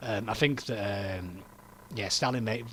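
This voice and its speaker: In a Yorkshire accent, a man talks at a very fast pace with a fairly low pitch. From northern England, Yorkshire. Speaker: political commentator streamer. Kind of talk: casual livestream chat. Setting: livestream with webcam.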